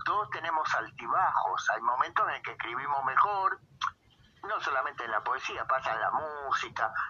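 Noticeable noise sits behind a man who talks at a moderate speed. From Argentina, Buenos Aires province (Moreno). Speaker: poet and poetry teacher. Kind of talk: interview.

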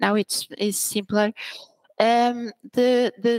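In a dry, close recording with no echo, a woman speaks at a fairly high pitch with monotone, flat intonation. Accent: Portuguese. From Portugal (Braga), born in Angola. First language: Portuguese. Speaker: senior technical writer. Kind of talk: interview.

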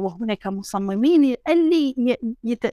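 On a very clean recording with a silent background and a dry, close sound with no echo, a woman speaks very slowly at a high pitch with lively intonation. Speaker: architecture professor and heritage researcher. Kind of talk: casual interview conversation. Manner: code-switching between Arabic, French and English.

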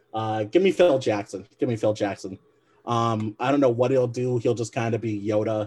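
A man with an American accent uses an ordinary speaking voice at medium pitch, with ordinary pitch variation and a moderate pace. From Michigan. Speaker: basketball podcast co-host. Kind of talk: casual interview.

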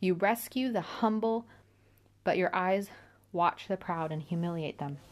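The woman's voice sits at a medium pitch and moves at a fairly slow pace. The background is quiet. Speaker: podcast host reading scripture. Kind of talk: scripture reading with personal commentary. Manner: measured, earnest reading of psalm-like verses; casual, enthusiastic, lightly self-deprecating.

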